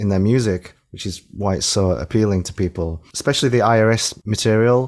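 With a Yorkshire accent, a man speaks at a fairly quick pace in a fairly low voice with ordinary pitch variation, on a very clean recording over a silent background. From Yorkshire, England. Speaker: singer-songwriter. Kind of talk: casual chat.

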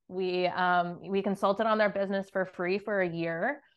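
In a monotone, flat intonation, a woman speaks at a medium pitch and a moderate pace. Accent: American. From New Jersey. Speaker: real estate investor. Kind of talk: interview.

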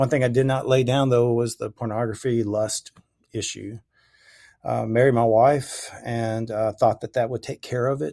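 A man with a Southern US accent speaks at a medium pitch and moderate pace in a dark, mellow tone with fairly even intonation, on a very clean recording with a silent background and a dry, close sound with no echo. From US South, Memphis, Tennessee. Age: 50s. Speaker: former pastor. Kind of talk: testimony in interview. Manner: halting, many fillers.

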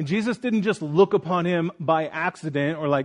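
A man with a plain, everyday voice speaks at a moderate pace in a fairly high pitch, the sound dry and close with no echo and the background quiet. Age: 30s. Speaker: pastor. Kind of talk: sermon.

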